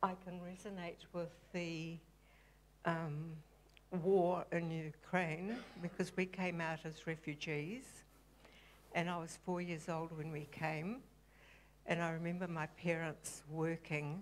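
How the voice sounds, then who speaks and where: A woman with a New Zealand accent, fairly low in pitch, very slow, with long, frequent pauses and fairly even intonation. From New Zealand (Christchurch), refugee family from Europe. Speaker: church member being baptized. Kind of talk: testimony. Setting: church stage. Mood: calm, reflective. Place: church. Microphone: handheld.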